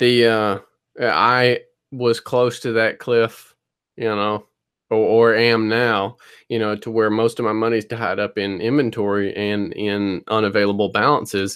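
Speaking at a medium pitch and a fairly slow pace, a man uses monotone, flat intonation. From US South, North Louisiana. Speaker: reseller podcast co-host. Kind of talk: casual chat. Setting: video call.

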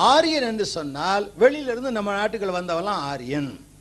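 Audible room echo hangs around a male speaker's voice. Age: old. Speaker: preacher. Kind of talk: sermon.

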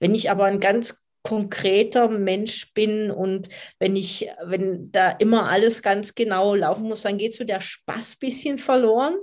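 A woman with a normal speaking voice, medium pitch, fairly even intonation and a fairly slow pace. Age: 50s. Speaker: dog coach. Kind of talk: podcast interview.

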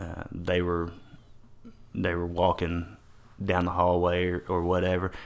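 Slow-paced and very deep, a man's bright, sharp voice comes through in a Texan accent. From Texas, Paris. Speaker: teacher and coach. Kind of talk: casual chat.

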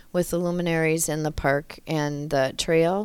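With an Upper Midwest accent, a woman talks at a fairly slow pace and a fairly low pitch on a very clean recording with a silent background. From Wisconsin (Loyal, rural). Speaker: city recreation manager. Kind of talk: casual interview.

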